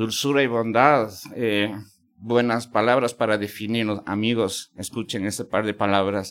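A normal speaking voice from a man at medium pitch, fairly slow and with fairly even intonation, on a very clean recording with a silent background. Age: 50s. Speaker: podcast host. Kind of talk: interview conversation. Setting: university venue.

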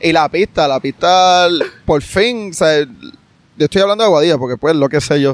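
A man with a fairly high pitch and ordinary pitch variation speaks at a moderate pace and very even loudness, in a dry, close sound with no echo. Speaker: sports podcast host. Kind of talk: casual interview chat. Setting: outdoors at the beach.

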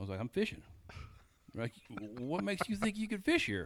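A man talks very fast with an American accent. His fairly high voice swings very widely in pitch. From US South, Georgia. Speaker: fishing guide. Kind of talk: casual chat.

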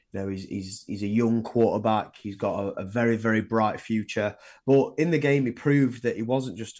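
With an English accent, a man talks in a fairly low pitch. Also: very clean recording, silent background. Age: 20s. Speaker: sports podcast co-host. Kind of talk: casual chat.

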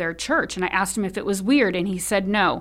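A woman with a Californian accent talks at a medium pitch with ordinary pitch variation. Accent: General American, Californian. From US West, Sacramento, California. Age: 40s. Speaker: philanthropist and lifestyle influencer. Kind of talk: personal testimony in interview. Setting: studio. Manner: hesitant, many fillers.

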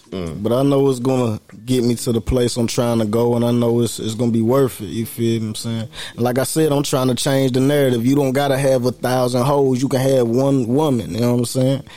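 Noticeable background noise runs behind the voice. A man with an American accent speaks at a medium pitch with hardly any pauses. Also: fairly even intonation, fairly quick pace. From Pennsylvania and North Carolina. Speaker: rapper and producer. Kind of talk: casual chat.

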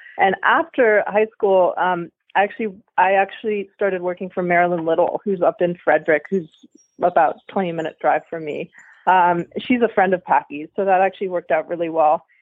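A woman speaks in an American accent at medium pitch. Her pace is moderate and her pitch varies in an ordinary way. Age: 20s. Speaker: event rider and student. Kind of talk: interview.

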